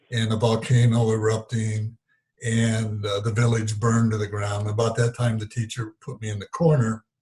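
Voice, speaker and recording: A man's medium-pitched, somewhat breathy voice at a moderate pace, with monotone, flat intonation. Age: 70s. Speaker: spiritual teacher. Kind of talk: interview storytelling. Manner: halting, with many fillers.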